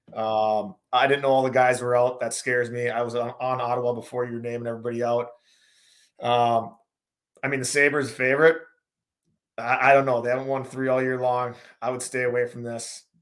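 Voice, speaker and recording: A man with an American accent talks at a fairly quick pace in a flat monotone, broken by long, frequent pauses. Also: medium pitch for a man. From North Dakota, US Upper Midwest. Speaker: former pro hockey player, betting analysis guest. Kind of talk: casual sports betting chat.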